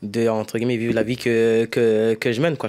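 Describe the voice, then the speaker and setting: The man speaks at a medium pitch. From France, Paris suburbs (Essonne). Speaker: youth association president. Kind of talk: interview. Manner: hesitant, many fillers.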